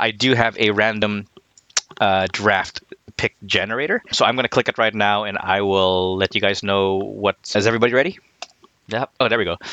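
A man speaks in an ordinary speaking voice at a fairly low pitch and a moderate pace. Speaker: podcast host. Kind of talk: casual chat.

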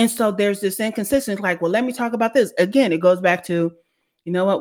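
A woman speaks with an American accent in a plain, everyday voice, medium in pitch with lively intonation. Her pace is fairly quick, and the recording is very clean with a silent background. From US (California). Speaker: brand strategist and author. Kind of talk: casual chat. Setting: live social audio room.

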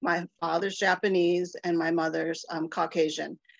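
A woman with an American accent uses an unremarkable speaking voice at medium pitch, talking fairly slowly in a dry, close sound with no echo. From Ohio, US Midwest. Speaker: political consultant. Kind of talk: panel discussion.

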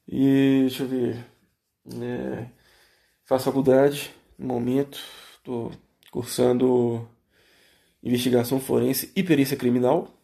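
A man with a dark, mellow tone and a medium pitch speaks in monotone, flat intonation, with long, frequent pauses. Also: fairly slow pace. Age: 20s. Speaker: podcaster. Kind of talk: solo monologue. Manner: hesitant, many fillers.

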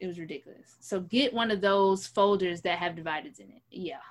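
This is an ordinary speaking voice at a fairly quick pace. Its pitch varies in an ordinary way. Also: woman. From New York City, the Bronx. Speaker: podcast co-host, actress. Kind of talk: casual chat.

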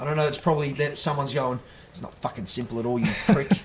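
With an Australian accent, a man talks in a fairly even intonation over noticeable background noise. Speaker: podcast co-host. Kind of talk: casual chat. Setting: home bar.

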